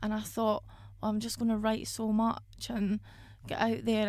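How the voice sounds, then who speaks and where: With audible room echo around her, a woman speaks in a Scottish accent. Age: 20s. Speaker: independent musician and podcast host. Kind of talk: casual monologue.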